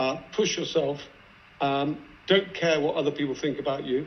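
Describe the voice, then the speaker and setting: A man has an ordinary speaking voice at fairly high pitch. He keeps a moderate pace with fairly even intonation. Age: 60s. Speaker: investor. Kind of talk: panel discussion.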